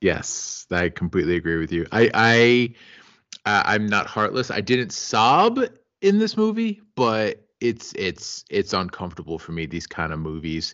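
With an ordinary speaking voice, a man speaks at a fairly slow pace, his fairly low pitch showing ordinary pitch variation. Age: 30s. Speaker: podcast co-host. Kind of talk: casual film discussion.

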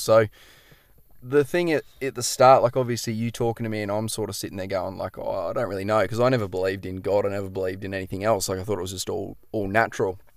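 Speaking with an Australian accent at a very fast pace, a man with a medium-pitched voice is heard on a very clean recording with a silent background. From Queensland, Australia (Noosa). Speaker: fishing guide. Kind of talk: casual chat. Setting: outdoors.

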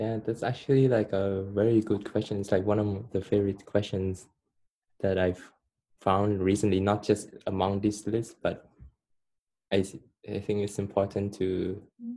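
A man with a Cambodian accent and a dark, mellow tone speaks at a moderate pace in a monotone, flat delivery broken by long, frequent pauses. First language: Khmer. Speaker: guest. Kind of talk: casual interview chat.

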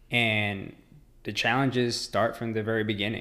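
Speaking at a fairly slow pace in a flat monotone, a man is heard with audible room echo. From Mexico, raised in Dallas, Texas. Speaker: ultramarathon runner. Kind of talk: casual interview.

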